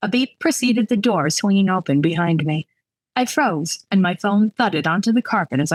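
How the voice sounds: The intonation is lively in this natural reading voice. Nothing intrudes from the background, which stays quiet.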